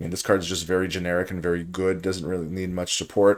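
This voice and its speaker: A man mumbles at a fairly quick pace in a very clean recording with a silent background. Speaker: card game draft commentator. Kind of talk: gameplay commentary. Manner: mumbling.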